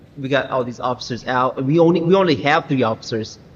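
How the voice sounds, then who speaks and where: Noticeable background noise runs under a man talking at a very fast pace with a medium pitch and ordinary pitch variation. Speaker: gaming streamer. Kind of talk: live gameplay commentary. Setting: live stream. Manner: animated.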